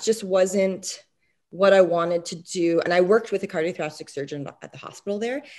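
A woman speaks at a medium pitch with ordinary variation in her intonation. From Quebec, Canada. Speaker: dentist. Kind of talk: interview. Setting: remote call from home.

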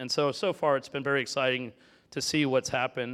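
In an ordinary speaking voice, a man with an American accent speaks at a fairly high pitch. He goes at a fairly quick pace on a very clean recording with a silent background. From Florida. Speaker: tech entrepreneur and investor. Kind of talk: fireside talk.

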